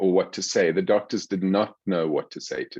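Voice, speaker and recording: A man with a South African accent talks at a moderate pace. The sound is dry and close with no echo, over a quiet background. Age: 60s. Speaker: psychiatrist. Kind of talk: interview.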